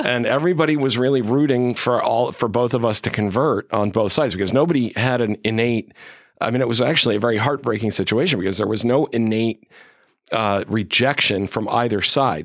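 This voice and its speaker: A man with an American accent speaks at a fairly quick pace, medium pitch, and ordinary pitch variation, in a plain, everyday voice. The recording is very clean with a silent background. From western Massachusetts. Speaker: professor of national security, author. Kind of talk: interview.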